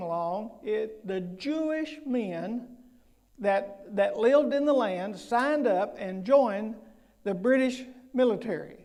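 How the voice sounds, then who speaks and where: Speech unfolds fairly slowly, with audible room echo in the space. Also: man. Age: 70s. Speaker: guest preacher. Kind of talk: sermon. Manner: halting.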